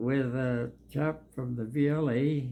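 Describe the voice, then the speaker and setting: A man speaks at a medium pitch with a Canadian Prairies accent. His tone is dark and mellow. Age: 90s. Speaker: war veteran. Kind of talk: interview.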